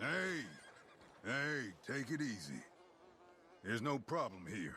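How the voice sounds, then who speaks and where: Over clear background noise, a man does a put-on character voice at medium pitch and a fairly slow pace, with very wide pitch swings. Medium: video game.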